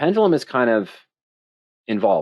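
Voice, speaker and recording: In a quiet background, a man at medium pitch speaks with very wide pitch swings. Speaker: options trading educator. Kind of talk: webinar Q and A. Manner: fast.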